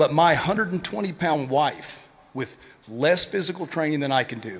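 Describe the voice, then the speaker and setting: A man with a Tennessee accent, fairly high pitch, ordinary pitch variation and a moderate pace. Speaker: retired police officer, event speaker. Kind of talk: conference speech.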